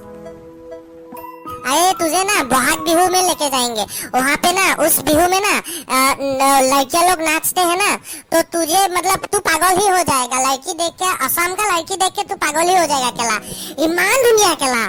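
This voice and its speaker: With clear music in the background, a man does a put-on character voice at an extremely high pitch. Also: moderate pace. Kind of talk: comedy sketch. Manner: rambling, repetitive, broken Hindi.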